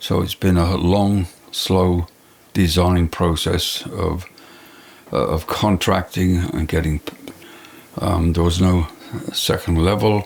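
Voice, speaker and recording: With an English accent, a man talks at a very slow pace with long, frequent pauses, his very deep, low pitch flat and monotone and his loudness very even, over noticeable background noise. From England. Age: 80s+. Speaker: retired architect. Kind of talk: interview storytelling. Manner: halting with fillers.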